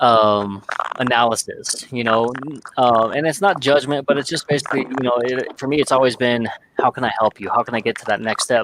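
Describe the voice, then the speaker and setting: Fairly quick speech from a man at medium pitch, with ordinary pitch variation and noticeable background noise. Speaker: podcast host. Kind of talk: casual discussion. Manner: dry, unemotional.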